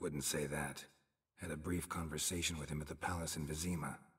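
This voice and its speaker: A man's deadpan, put-on character voice, very deep and low, flat and monotone at a fairly quick pace. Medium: video game. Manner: terse, deadpan.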